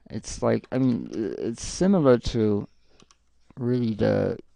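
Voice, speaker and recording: This man speaks fairly slowly. He has a French accent. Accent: non-native, French-accented English. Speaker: live streamer and artist. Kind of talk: casual live-stream chat while drawing. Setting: home live stream with green screen. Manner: halting, with frequent fillers and restarts.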